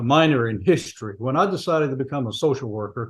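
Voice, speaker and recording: In a quiet background, a man speaks at a medium pitch with ordinary pitch variation and a somewhat breathy voice. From US South, rural Louisiana (Evangeline Parish). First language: Cajun French. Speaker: retired social worker and counselor, author. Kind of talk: interview.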